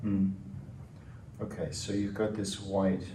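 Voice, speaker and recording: Over audible room echo, a man speaks at a very slow pace in a fairly low voice with a calm tone. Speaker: research interviewer. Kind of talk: structured interview.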